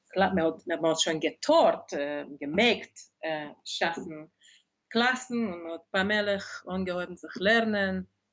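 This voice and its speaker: In a Hungarian accent, a woman talks at a very slow pace and medium pitch, with ordinary pitch variation and big swings in loudness. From Hungary, Budapest. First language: Hungarian (speaking German). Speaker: dictionary editor and translator. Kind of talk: interview. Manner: halting.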